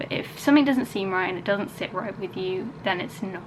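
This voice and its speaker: A woman speaks at a moderate pace and a medium pitch, with ordinary pitch variation. Audible room echo and noticeable background noise fill the recording. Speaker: vlogger. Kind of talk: casual vlog talk to camera. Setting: at home. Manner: soft-spoken.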